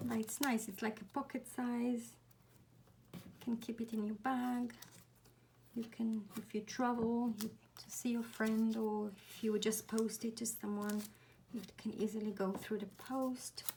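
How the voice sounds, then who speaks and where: A woman's quiet, somewhat breathy whisper at a fairly slow pace. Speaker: craft tutorial creator. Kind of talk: tutorial. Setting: at home, early morning. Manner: whispering, quiet.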